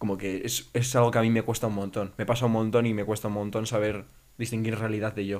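Words come at a very fast pace. The intonation is monotone and flat. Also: man. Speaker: podcast co-host, university student. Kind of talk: casual chat.

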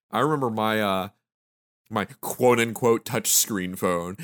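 An unremarkable speaking voice from a man at medium pitch, fairly slow in pace, with a dry, close sound free of echo and a very clean recording over a silent background. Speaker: podcast host. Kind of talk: casual chat. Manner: joking.

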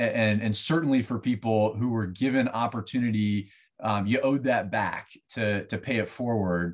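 In an American accent, a man with an ordinary speaking voice talks at a moderate pace and medium pitch, with ordinary pitch variation, very even loudness and a quiet background. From US Southeast. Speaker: financial firm representative. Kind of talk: interview. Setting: remote recording.

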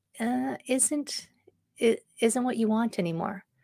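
A woman speaks in a normal speaking voice, fairly high in pitch, with lively intonation. The recording is very clean, with a silent background. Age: 50s. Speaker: wellness podcast host and leadership coach. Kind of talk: solo podcast monologue. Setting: live-streamed on Facebook. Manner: casual, with many fillers.

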